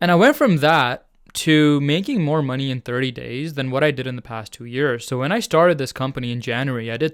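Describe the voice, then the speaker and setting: A man with a non-native accent, medium pitch and ordinary pitch variation, at a fairly quick pace in a very clean recording with a silent background. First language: not English. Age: 20s. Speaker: online business coach. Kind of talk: tutorial. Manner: casual.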